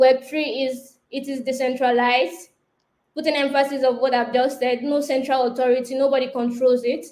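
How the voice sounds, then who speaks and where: A woman speaks with a high pitch. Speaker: web3 designer, workshop speaker. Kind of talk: online workshop presentation. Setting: live online session.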